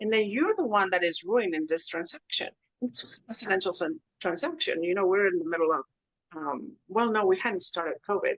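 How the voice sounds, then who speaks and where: With a Spanish accent, a woman talks in very wide pitch swings. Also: medium pitch for a woman, fairly quick pace. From Mexico, Monterrey. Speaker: commercial real estate agent. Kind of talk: interview conversation.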